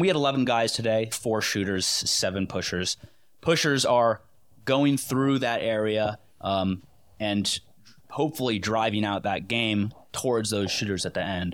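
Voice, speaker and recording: In an American accent, a man talks at a moderate pace with an unremarkable speaking voice, medium pitch and ordinary pitch variation, recorded very cleanly against a silent background. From Connecticut. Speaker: hunter and public land advocate. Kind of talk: casual chat.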